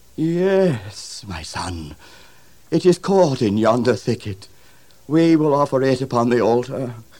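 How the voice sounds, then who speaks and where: A shaky, put-on character voice moves at a fairly slow pace. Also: man, medium pitch for a man. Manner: trembling, then grateful.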